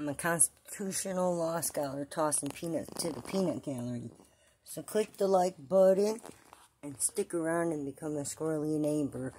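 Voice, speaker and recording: Speaking at a moderate pace, a woman is heard. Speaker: vlogger. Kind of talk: casual vlog chat. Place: home room.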